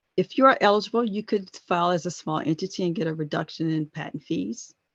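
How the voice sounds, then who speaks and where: A woman with an American accent, fairly low in pitch and somewhat breathy, very fast pace, lively intonation, dry, close sound with no echo, quiet background. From US South, Chesapeake, Virginia. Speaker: government patent office presenter. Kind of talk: webinar presentation.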